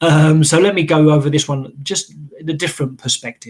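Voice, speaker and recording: A man with an English accent speaks at a fairly quick pace. His voice is fairly high and somewhat breathy. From England. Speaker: database solution architect. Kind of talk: technical webinar presentation. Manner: fast; hesitant with fillers and repetitions.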